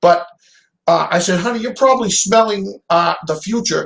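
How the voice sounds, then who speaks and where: Here a man speaks with a high pitch and lively intonation. His pace is moderate. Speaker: call-in guest. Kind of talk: casual storytelling on a call-in show. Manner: rambling, hesitant.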